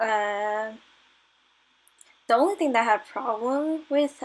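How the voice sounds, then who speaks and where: The voice is quiet, with a tired, nervous tone and lively intonation. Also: woman. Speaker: digital artist. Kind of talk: casual voice-over narration while drawing. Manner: nervous, hesitant; tired, quiet.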